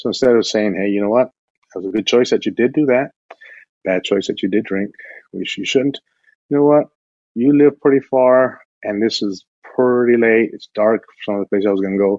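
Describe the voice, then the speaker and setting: At a moderate pace and medium pitch, a man with an American accent speaks with ordinary pitch variation and long, frequent pauses. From El Paso, Texas. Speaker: criminal justice researcher. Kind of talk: interview.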